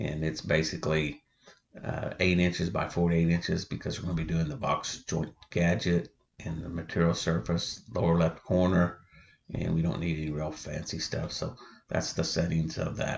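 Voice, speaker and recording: Quiet and with a very deep, low pitch, a man speaks at a moderate pace with fairly even intonation. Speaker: woodworking hobbyist. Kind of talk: tutorial.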